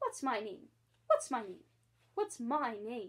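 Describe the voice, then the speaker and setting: A woman puts on a shrill character voice pitched high. She talks at a fairly slow pace. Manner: anxious.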